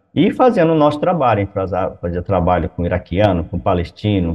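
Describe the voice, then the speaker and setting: Here is a man with a plain, everyday voice. He speaks at a fairly low pitch. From Brazil, Goiás. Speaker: missionary pastor. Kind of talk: interview.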